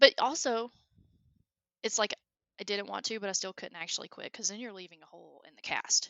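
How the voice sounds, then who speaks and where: Fairly quick delivery in a strong Southern US accent, broken by long, frequent pauses. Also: woman, fairly high pitch for a woman, ordinary pitch variation, big swings in loudness. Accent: thick southern. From US South, Alabama. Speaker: engineer and creative hobbyist. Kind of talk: casual chat. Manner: animated.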